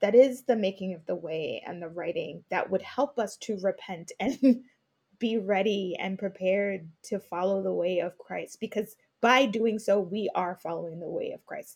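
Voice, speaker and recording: Using an ordinary speaking voice, a woman with an American accent speaks at a moderate pace and medium pitch, with ordinary pitch variation and big swings in loudness. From Brooklyn, New York. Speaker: podcaster and faith leadership coach. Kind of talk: casual discussion.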